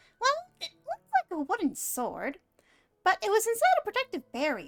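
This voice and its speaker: Squeaky, female-sounding put-on character voice, extremely high in pitch with very wide pitch swings at a fairly quick pace. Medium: game stream. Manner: refers to self in third person, chatty.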